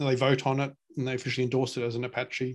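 Over a quiet background, a man with an Australian accent speaks at a fairly high pitch. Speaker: open-source software project lead. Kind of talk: casual interview. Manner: hesitant, many fillers.

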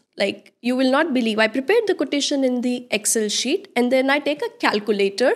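A woman with an Indian accent at a moderate pace, with ordinary pitch variation, on a very clean recording against a silent background. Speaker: interior designer. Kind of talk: casual interview chat.

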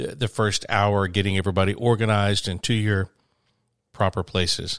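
Monotone, flat intonation in a Southern US accent, with a dry, close sound and no echo on a very clean recording with a silent background. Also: man. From small town near Birmingham, Alabama. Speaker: podcast co-host and touring musician. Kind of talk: casual chat. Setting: home studio. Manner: halting, repeats words.

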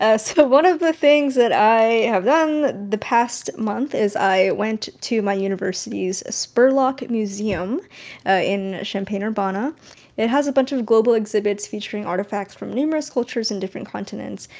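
Using a normal speaking voice in an American accent, a woman talks with a fairly high pitch and ordinary pitch variation. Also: moderate pace. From California. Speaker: podcast co-host. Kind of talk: casual chat.

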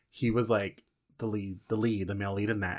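Here a man with a normal speaking voice and medium pitch talks at a fairly quick pace. The recording is very clean, with a silent background. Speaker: podcast co-host. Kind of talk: casual chat. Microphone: new expensive microphone.

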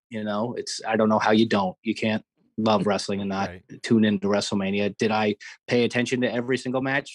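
Fairly low in pitch, a man talks at a fairly quick pace with monotone, flat intonation. The sound is dry and close with no echo, over a quiet background. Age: 30s. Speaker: wrestling play-by-play commentator. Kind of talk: interview. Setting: phone call.

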